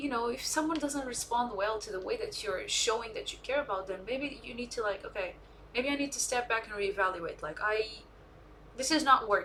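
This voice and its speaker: A woman talks at a fairly quick pace with a non-native accent and a high voice. Her intonation is lively, and background noise is noticeable. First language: not English. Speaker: streamer. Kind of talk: casual chat. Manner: halting.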